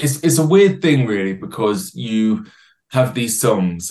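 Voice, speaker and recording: Fairly slow and with lively intonation, a man with an English accent speaks at a fairly low pitch. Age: 20s. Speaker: singer-songwriter. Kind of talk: casual chat. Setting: video call.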